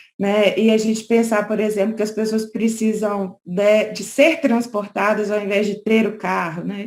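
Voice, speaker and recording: Talking fairly slowly, a woman uses a fairly high pitch. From Brazil, Minas Gerais. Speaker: lawyer. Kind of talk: conference talk. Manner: conversational, frequent fillers.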